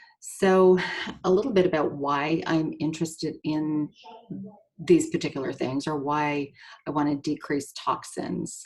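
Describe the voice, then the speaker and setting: Speaking at a fairly slow pace, a woman uses a very deep, low pitch and fairly even intonation. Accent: slight Canadian. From Canada. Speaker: nurse and essential oil seller. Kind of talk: presentation. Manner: halting, many fillers.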